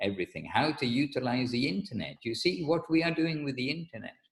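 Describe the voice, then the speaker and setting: A man is speaking. His voice is somewhat breathy. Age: 60s. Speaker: spiritual teacher. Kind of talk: religious lecture. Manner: halting.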